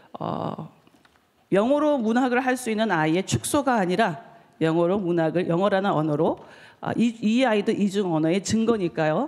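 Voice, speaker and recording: Lively intonation marks a woman's speech at medium pitch and a moderate pace. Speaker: novelist. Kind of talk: conference talk. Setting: stage with audience. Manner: halting.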